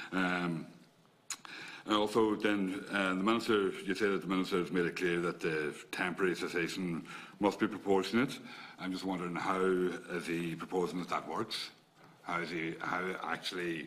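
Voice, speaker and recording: At a moderate pace, a man with an Irish accent speaks in a very deep, low pitch with fairly even intonation and long, frequent pauses. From Ireland. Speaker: politician. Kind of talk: committee questioning. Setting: parliamentary committee room. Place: meeting room. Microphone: podium.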